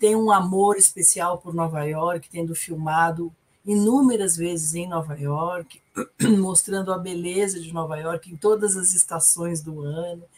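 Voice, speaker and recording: A somewhat breathy woman's voice, fairly low in pitch, with fairly even intonation, big swings in loudness and a fairly slow pace. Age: 50s. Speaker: psychotherapist. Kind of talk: casual film discussion livestream.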